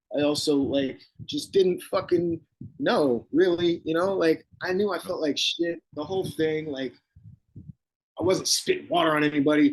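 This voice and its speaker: Speaking at a moderate pace with an American accent, a man has a high-pitched voice and lively intonation. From New Jersey (Bergen County) and Woodstock, New York. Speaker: rock bassist and guitarist. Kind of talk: casual interview chat.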